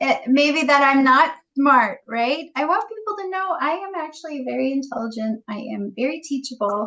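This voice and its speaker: Her voice raised and projected, a woman speaks high in pitch at a moderate pace, with lively intonation and hardly any pauses. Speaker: realtor. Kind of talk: interview.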